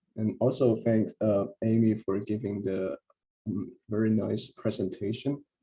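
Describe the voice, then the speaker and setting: The speaker talks at a fairly slow pace with a dark, mellow tone and vocal fry. The intonation stays fairly even. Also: man, fairly low pitch for a man. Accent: non-native. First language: not English. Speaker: researcher, co-author. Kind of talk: memorial tribute. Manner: hesitant, many fillers.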